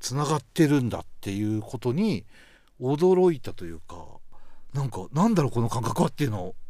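A man's dark, mellow voice at medium pitch, fairly quick in pace, with very wide pitch swings and big swings in loudness. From Hokkaido, Ishikari. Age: 40s. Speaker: broadcast writer. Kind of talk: casual chat.

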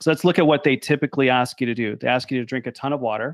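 With dry, close sound and no echo, a man of medium pitch speaks in an unremarkable speaking voice with fairly even intonation. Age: 50s. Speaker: podcast host, health scientist. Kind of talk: casual interview chat.

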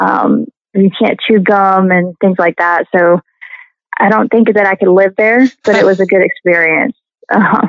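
A woman with a Southern US accent talks at a moderate pace and medium pitch, with fairly even intonation and very even loudness. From Tennessee, Nashville area. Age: 50s. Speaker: musician and actress. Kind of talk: casual interview.

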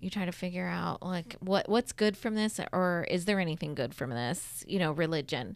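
A woman speaks at a medium pitch with vocal fry. The recording is very clean, with a silent background. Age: 40s. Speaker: podcast host. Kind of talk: casual chat.

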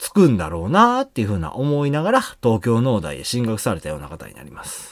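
This is a man's voice. He speaks with a Kansai accent. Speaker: podcast host. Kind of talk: casual chat.

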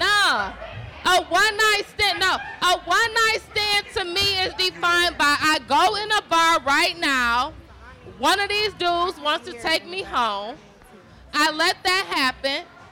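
Over noticeable background noise, a woman speaks at a very slow pace. Her pitch is extremely high and her intonation lively. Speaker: panelist.

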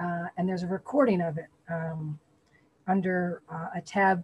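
Somewhat breathy, a woman talks with an American accent at a moderate pace. Her intonation stays fairly even. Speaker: spiritual community member. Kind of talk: group discussion sharing. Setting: video call.

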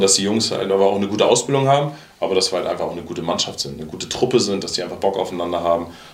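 Audible room echo and noticeable background noise around a man talking. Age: 40s. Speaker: football coach. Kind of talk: casual chat.

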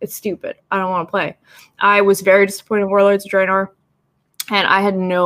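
Recorded with a dry, close sound and no echo, a woman with a Canadian accent speaks at a fairly quick pace and a medium pitch. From Canada. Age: 30s. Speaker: cosplayer and digital artist. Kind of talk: casual chat.

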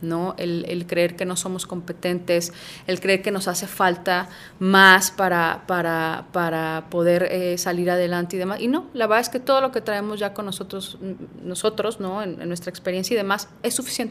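A woman with an unremarkable speaking voice talks at medium pitch and a moderate pace with fairly even intonation on a very clean recording with a silent background. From Mexico, Puebla. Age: 40s. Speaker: career coach. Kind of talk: casual interview chat.

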